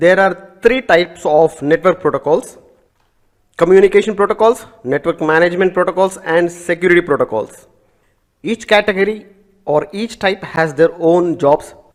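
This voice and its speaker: A man with an Indian accent talks at a moderate pace in a high pitch, with ordinary pitch variation. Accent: Indian English (Telugu). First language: Telugu. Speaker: networking instructor. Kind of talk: lecture.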